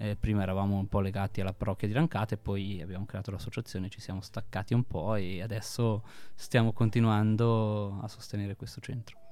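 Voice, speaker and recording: A man with a dark, mellow tone, fairly even intonation and a fairly quick pace. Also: fairly low pitch for a man. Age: 30s. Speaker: charity founder. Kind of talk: interview. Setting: studio.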